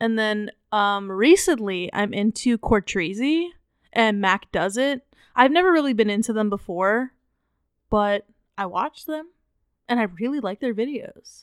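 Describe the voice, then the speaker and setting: With an American accent and lively intonation, a woman talks at a fairly slow pace with long, frequent pauses, recorded dry and close with no echo against a silent background in a very clean recording. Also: fairly high pitch for a woman. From Montgomery County, Maryland, near DC. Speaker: podcast co-host. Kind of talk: casual chat. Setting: home recording.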